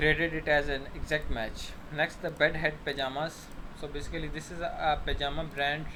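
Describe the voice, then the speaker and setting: Over noticeable background noise, a man with a fairly high pitch talks at a fairly quick pace in a monotone, flat intonation. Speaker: online task tutor. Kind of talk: tutorial. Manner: fast.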